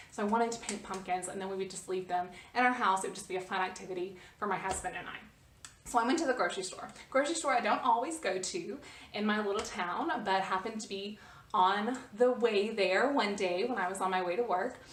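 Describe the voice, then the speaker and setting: A woman talks at a very fast pace with fairly high pitch and ordinary pitch variation. Noticeable background noise and audible room echo are present. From United States. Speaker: vlogger. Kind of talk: casual storytelling vlog. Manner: hesitant, many fillers and repetitions.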